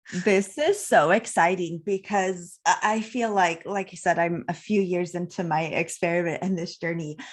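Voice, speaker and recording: In an ordinary speaking voice, a woman with a fairly low pitch talks at a moderate pace with ordinary pitch variation and hardly any pauses, over a quiet background. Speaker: podcast host. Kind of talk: interview. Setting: live video stream.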